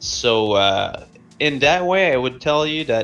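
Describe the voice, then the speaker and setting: A man with a French Canadian accent speaks with ordinary pitch variation over noticeable background noise. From Quebec. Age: 30s. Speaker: music producer. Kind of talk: interview. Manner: halting, many fillers.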